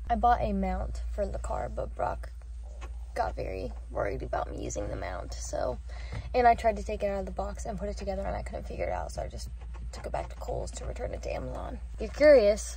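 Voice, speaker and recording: A woman's very deep, low pitch at a fairly quick pace, monotone and flat in intonation, with big swings in loudness and audible room echo. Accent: American. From Indiana. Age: 20s. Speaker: lifestyle vlogger. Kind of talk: casual vlog chat. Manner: whispering quietly.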